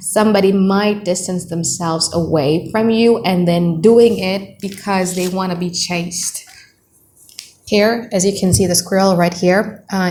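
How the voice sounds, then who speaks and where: A woman's medium-pitched voice with fairly even intonation and a moderate pace. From Indonesia. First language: Indonesian. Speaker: tarot reader. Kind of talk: tarot reading monologue. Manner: casual, conversational; mutters in native language at times.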